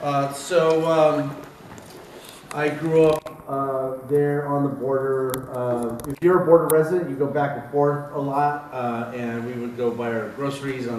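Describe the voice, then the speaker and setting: There is noticeable background noise and audible room echo. A man talks with ordinary pitch variation. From San Diego, California, US. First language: Spanish. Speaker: cartoonist. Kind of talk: public talk. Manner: hesitant, many fillers.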